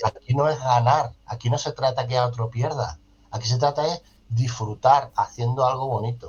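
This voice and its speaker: In a southern Spanish accent, a somewhat breathy voice talks at a moderate pace. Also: man, medium pitch for a man. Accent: Andalusian-type southern Spanish. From Ceuta, Spain. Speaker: social educator and foundation director. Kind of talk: interview. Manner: animated.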